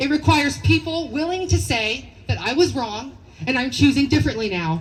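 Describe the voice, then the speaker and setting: Shouting loudly over noticeable background noise, a woman speaks at a moderate pace in a high pitch with very wide pitch swings. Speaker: rally speaker. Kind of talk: protest rally speech. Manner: loud, shouting.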